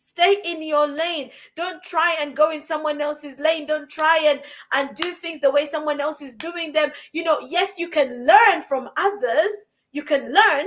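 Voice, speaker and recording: Speaking at a fairly slow pace, a woman has a high pitch, an animated tone and big swings in loudness. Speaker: podcast co-host, life coach. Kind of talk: casual podcast conversation. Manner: animated, repetitive emphasis.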